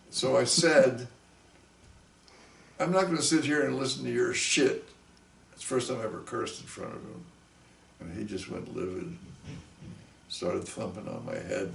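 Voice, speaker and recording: Over noticeable background noise and audible room echo, a man speaks with long, frequent pauses and big swings in loudness. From US Northeast, Long Island, New York. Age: 70s. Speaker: musician. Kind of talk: interview storytelling. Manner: halting.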